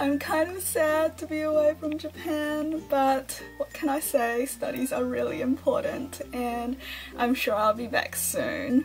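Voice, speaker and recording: A woman speaks at a fairly slow pace. Clear music plays in the background. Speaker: vlogger. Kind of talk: casual vlog chat. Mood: cheerful, friendly. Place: home room. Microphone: phone near.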